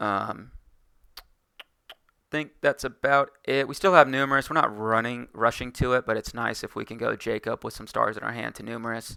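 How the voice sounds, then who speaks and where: The recording is very clean, and the background is silent. A man speaks fairly quickly. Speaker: card game content creator. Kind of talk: tutorial. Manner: fast; casual with fillers.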